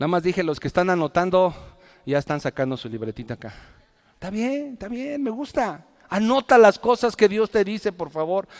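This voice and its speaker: Recorded very cleanly against a silent background with a dry, close sound and no echo, a man speaks at a moderate pace and high pitch, with very wide pitch swings and big swings in loudness. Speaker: pastor. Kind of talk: sermon.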